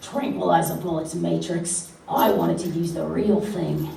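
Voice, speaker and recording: Putting on a raspy, high-pitched character voice, a man speaks at a moderate pace with clear background noise and a slight echo. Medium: stage play. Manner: sneering.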